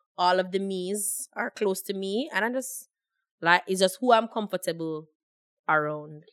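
Speaking at a fairly slow pace, a woman uses a medium pitch with ordinary variation and an animated, playful tone. The recording is very clean, with a silent background and a dry, close sound with no echo. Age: 20s. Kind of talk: casual chat.

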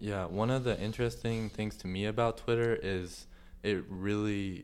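A man talks at a moderate pace with fairly even intonation. His pitch is fairly low, an ordinary speaking voice. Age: 18. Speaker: student podcast host. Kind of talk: interview.

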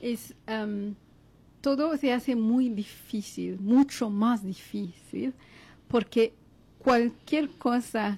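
Somewhat breathy, a woman speaks at a very slow pace with fairly high pitch and ordinary pitch variation. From Congo. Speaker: philosophy professor. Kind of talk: interview.

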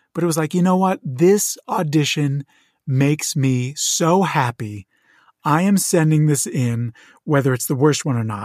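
In an ordinary speaking voice, a man talks at a moderate pace with fairly high pitch and lively intonation. The recording is very clean, with a silent background and a dry, close sound with no echo. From southern New Jersey, near Philadelphia. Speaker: actor. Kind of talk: casual interview.

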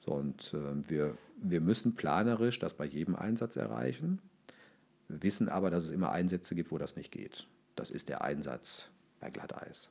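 Speaking at a moderate pace, a man with a very deep, low pitch uses lively intonation and vocal fry. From Ruhr area, Germany. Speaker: local government official for fire and rescue services. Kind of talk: interview.

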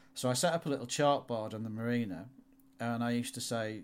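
A man's medium-pitched voice with a Yorkshire accent, fairly even intonation and a fairly quick pace. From northern England, York. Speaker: automotive photographer. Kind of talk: interview.

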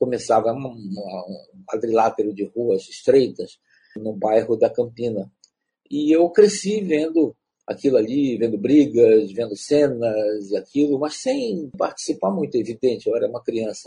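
At medium pitch and a fairly slow pace, a somewhat breathy man speaks with lively intonation. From Belém, Pará, Brazil. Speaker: writer and playwright. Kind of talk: interview. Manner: halting.

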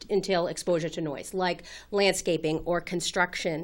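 A bright, sharp voice with an American accent at a moderate pace, on a very clean recording with a silent background. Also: woman. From Massachusetts, Boston area (Winchester). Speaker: audiologist. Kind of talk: interview.

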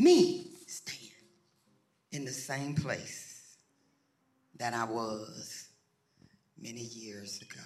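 A man speaks at a very slow pace, with long, frequent pauses and big swings in loudness. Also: medium pitch for a man, ordinary pitch variation. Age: 70s. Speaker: pastor. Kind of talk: sermon. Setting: church with congregation. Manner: animated.

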